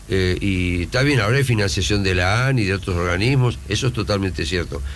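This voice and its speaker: Over audible room echo, a man with a fairly low pitch talks very fast with lively intonation and very even loudness. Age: 70s. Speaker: university rector. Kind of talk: radio interview.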